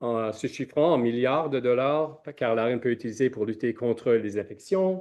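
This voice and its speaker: In a non-native accent, a man speaks at a moderate pace with a medium pitch and ordinary pitch variation. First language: not French (speaking French). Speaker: scientist, researcher. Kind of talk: conference presentation. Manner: halting, many hesitations.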